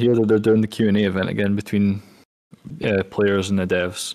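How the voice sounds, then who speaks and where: A man with a Scottish accent, fairly low-pitched, at a moderate pace. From Scotland. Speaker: gaming community event host. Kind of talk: panel discussion.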